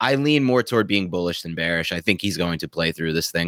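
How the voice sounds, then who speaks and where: At a very fast pace, a man talks with lively intonation, his sound dry and close with no echo on a very clean recording with a silent background. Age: 30s. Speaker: fantasy football analyst. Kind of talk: casual chat.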